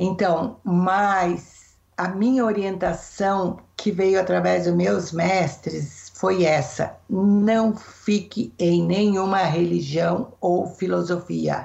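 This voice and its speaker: A woman at a very slow pace with hardly any pauses, very even loudness and fairly even intonation. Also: medium pitch for a woman. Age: 60s. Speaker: therapist. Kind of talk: interview.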